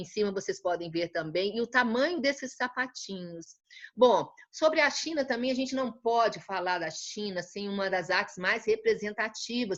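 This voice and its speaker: A woman speaks with a fairly high pitch at a moderate pace. Her intonation is lively. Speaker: art teacher. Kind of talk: lecture. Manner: halting.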